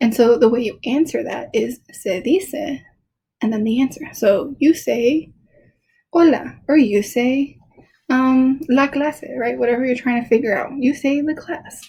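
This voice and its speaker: A woman speaks at a high pitch with ordinary pitch variation. Her tone is dark and mellow, and her pace is fairly slow. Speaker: Spanish teacher. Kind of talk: recorded lesson for students.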